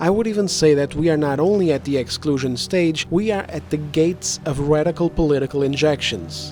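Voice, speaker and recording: A man talks with ordinary pitch variation. Behind him, music is playing. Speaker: gaming commentator. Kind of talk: opinion commentary. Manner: heated, ranting.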